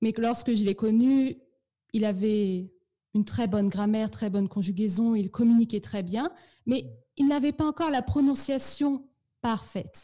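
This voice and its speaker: Somewhat breathy and dark, mellow in tone, a woman of fairly high pitch speaks at a fairly slow pace with ordinary pitch variation and long, frequent pauses on a very clean recording with a silent background. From northern France (Normandy, Eure). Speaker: French pronunciation teacher. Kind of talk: interview.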